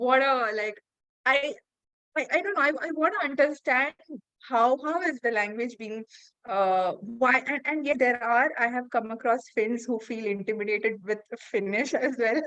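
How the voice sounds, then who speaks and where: A woman with a Keralan accent speaks in a high, bright, sharp voice with lively intonation. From India. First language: Malayalam. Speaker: podcast host. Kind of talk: casual interview chat. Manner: halting, many fillers.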